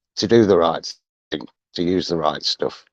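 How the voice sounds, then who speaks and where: This man has a very deep, low pitch and ordinary pitch variation. He speaks at a fairly slow pace in a dry, close sound with no echo. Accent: northern English. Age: 60s. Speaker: deck cleaning business owner. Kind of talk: casual chat. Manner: hesitant.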